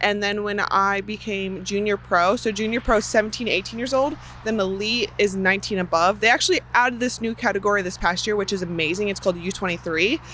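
Over noticeable background noise, a woman with an American accent talks very fast. Her medium pitch shows ordinary variation. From US Midwest, Chicago area. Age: 20s. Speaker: professional BMX racer. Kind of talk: interview.

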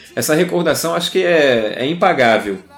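A man talks at a moderate pace with ordinary pitch variation against noticeable background noise. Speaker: podcast co-host. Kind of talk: casual chat.

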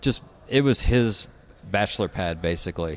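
A man talks at a moderate pace with a Southern US accent against a quiet background. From Tennessee. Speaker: architect and designer. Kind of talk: interview. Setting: studio.

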